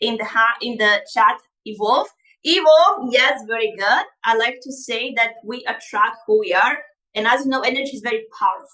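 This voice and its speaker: Speaking at a moderate pace with a Bulgarian accent, this voice has a bright, sharp tone, lively intonation and big swings in loudness. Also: woman, high pitch for a woman. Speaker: life coach. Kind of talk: live online masterclass. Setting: livestream. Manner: animated.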